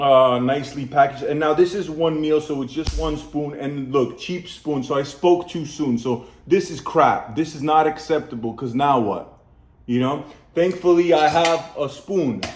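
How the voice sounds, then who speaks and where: A man with a New York accent, fairly high pitch, ordinary pitch variation and a moderate pace. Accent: New York American English. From US Northeast, Brooklyn, New York (Polish community). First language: Polish. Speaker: food reviewer, channel host. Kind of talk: casual product review. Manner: chatty, conversational.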